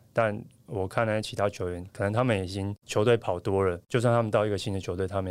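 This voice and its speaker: Very fast speech from a man with a fairly low pitch and fairly even intonation, on a very clean recording with a silent background. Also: hardly any pauses, big swings in loudness. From Taiwan. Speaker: professional volleyball player. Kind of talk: interview.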